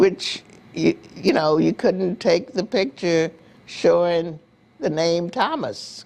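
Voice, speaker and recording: With an American accent, a woman speaks very slowly at a fairly low pitch with ordinary pitch variation. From US South. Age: 80s+. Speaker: community elder interviewee. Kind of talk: oral history interview. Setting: on camera interview. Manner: halting.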